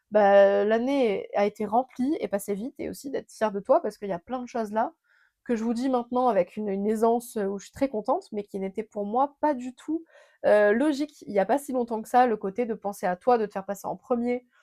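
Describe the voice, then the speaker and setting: A woman with a dark, mellow tone and a fairly high pitch talks at a fairly quick pace, with ordinary pitch variation and big swings in loudness, in a dry, close sound with no echo on a very clean recording with a silent background. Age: 20s. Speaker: podcaster. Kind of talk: casual monologue. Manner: fast; hesitant fillers.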